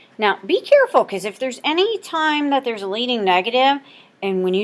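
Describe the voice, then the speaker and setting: Her fairly high pitch swings very widely as the woman talks at a fairly quick pace. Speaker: math teacher. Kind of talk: recorded lesson.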